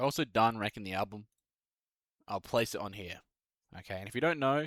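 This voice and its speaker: With an Australian accent, a man of medium pitch speaks at a fairly quick pace with ordinary pitch variation, recorded very clean with a silent background and a dry, close sound with no echo. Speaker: music YouTuber, bass player. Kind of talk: casual tier-list commentary. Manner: casual, filler-heavy.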